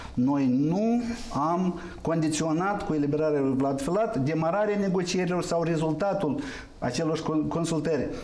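A man's fairly high voice at a fairly slow pace, with ordinary pitch variation, very even loudness and audible room echo. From Moldova. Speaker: member of parliament; guest. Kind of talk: political talk show debate. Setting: TV studio. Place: studio.

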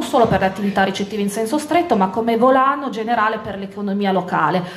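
In a room with audible echo, a woman talks at a fairly quick pace with lively intonation and a fairly high pitch. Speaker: deputy mayor. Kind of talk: campaign speech. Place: hall. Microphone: handheld.

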